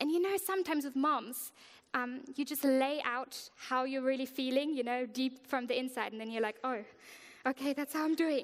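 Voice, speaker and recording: Her pitch is high, and she speaks with a German accent. The woman keeps a moderate pace with ordinary pitch variation. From Germany. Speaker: worship leader. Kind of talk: sermon.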